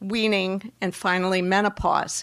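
A woman's medium-pitched voice with an Upper Midwest accent, monotone and flat at a very slow pace, with a dry, close sound with no echo and a very clean recording against a silent background. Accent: Upper Midwest American. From Wisconsin. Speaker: breast cancer oncologist. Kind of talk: panel discussion at live event. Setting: store event with live audience.

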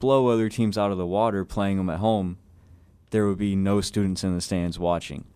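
Over a silent background in a very clean recording, a man with an American accent uses an ordinary speaking voice, fairly low in pitch, fairly quick and fairly even in intonation. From Southeast Texas (Buna). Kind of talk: interview. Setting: studio.

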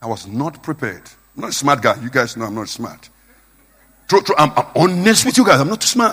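Using a bright, sharp tone, a man talks at a fairly quick pace with long, frequent pauses, big swings in loudness and very wide pitch swings. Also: fairly high pitch for a man. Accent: Nigerian. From Nigeria. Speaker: preacher. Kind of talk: sermon. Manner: informal, simple, plain-spoken.

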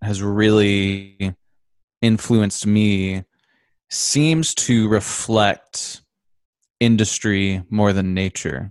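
In an Upper Midwest accent, a man talks at a very slow pace with a fairly low pitch and long, frequent pauses. The background is quiet, and the sound is dry and close with no echo. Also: ordinary pitch variation. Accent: Upper Midwest American. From Michigan, Grand Rapids. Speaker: composer and guitarist. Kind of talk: casual interview. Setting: video call.

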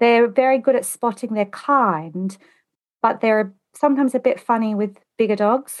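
A fairly high-pitched woman with an Australian accent at a moderate pace. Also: ordinary pitch variation. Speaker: home organizer. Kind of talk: casual interview. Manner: animated.

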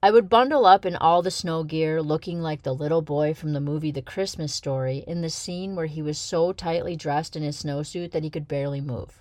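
This woman's pitch is very deep and low, with ordinary variation. She talks at a fairly quick pace in an animated, playful tone, with hardly any pauses. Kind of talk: audiobook story reading. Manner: animated, playful storyteller with comic, tongue-in-cheek delivery.

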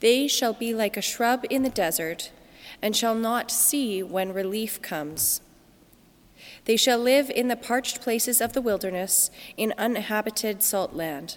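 Here is an ordinary speaking voice. The recording is very clean, with a silent background. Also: woman, fairly high pitch for a woman, ordinary pitch variation, fairly slow pace. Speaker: scripture reader at Mass. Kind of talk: scripture reading aloud.

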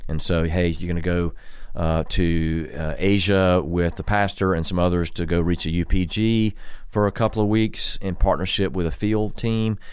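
A man's voice sits very deep and low, keeping fairly even intonation at a moderate pace. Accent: South Carolina. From US South, Columbia, South Carolina. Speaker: pastor. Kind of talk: casual chat.

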